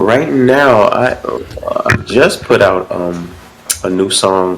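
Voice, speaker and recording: A man speaks in a relaxed tone. There is noticeable background noise. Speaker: musician. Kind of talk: podcast interview. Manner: relaxed, casual.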